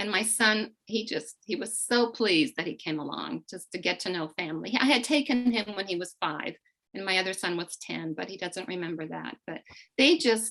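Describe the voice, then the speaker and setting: Lively intonation and a moderate pace mark this speaker with a Slovak accent. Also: woman. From eastern Slovakia, then Canada from age nine. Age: 60s. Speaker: immigrant sharing family story. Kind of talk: interview.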